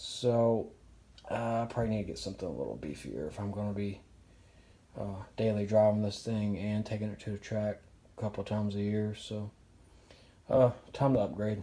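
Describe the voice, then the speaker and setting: A soft-spoken man with a dark, mellow tone and fairly low pitch, moderate pace, fairly even intonation, and long, frequent pauses. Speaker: car hobbyist vlogger. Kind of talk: casual DIY garage vlog. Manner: soft-spoken, keeping quiet; hesitant, many fillers.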